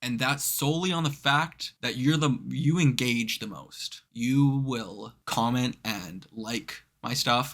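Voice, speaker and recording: Very slow speech in a slight Canadian accent runs on with hardly any pauses and ordinary pitch variation. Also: man, medium pitch for a man. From Canada. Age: 20s. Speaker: movie reaction youtuber. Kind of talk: casual Q&A chat. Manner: casual, with filler words.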